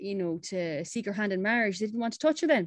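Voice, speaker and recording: This woman speaks with an Irish accent and ordinary pitch variation. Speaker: campaign founder and CEO. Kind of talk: radio interview.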